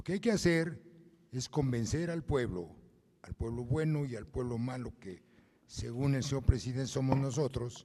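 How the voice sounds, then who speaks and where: A man with a dark, mellow tone uses lively intonation and big swings in loudness. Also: medium pitch for a man, moderate pace. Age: 70s. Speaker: lawyer. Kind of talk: forum comment.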